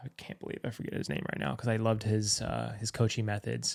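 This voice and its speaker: A man of medium pitch sounds dry and close with no echo on a very clean recording against a silent background. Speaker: podcast host; firefighter. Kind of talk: casual conversation. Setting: studio.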